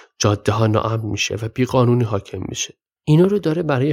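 A man with a medium pitch and lively intonation sounds somewhat breathy in a very clean recording with a silent background. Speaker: podcast host and storyteller. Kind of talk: storytelling narration.

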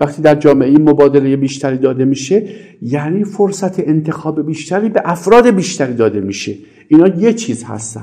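Speaking at a fairly quick clip, a man with a fairly high pitch and a dark, mellow tone uses lively intonation. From Iran, Isfahan. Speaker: economics professor. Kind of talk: interview answers. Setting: recorded separately from questions.

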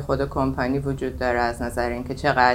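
A woman talks at a moderate pace. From Iran, Tehran. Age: 40s. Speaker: AI technology leader. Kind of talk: casual interview. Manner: halting.

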